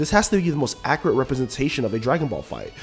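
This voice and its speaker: The speech runs at a very fast pace with lively intonation. Music plays in the background. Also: man. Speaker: video game reviewer. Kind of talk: game review narration.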